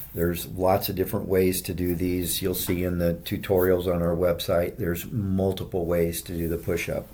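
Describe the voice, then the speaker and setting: A man's very deep, low voice with a dark, mellow tone, a fairly slow pace and audible room echo. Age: 60s. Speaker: fitness video creator. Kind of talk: workout tutorial. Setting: hotel gym. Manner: casual, conversational.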